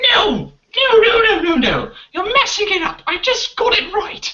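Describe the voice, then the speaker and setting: This is a put-on character voice with an extremely high pitch. It moves at a moderate pace. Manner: indignant, frustrated.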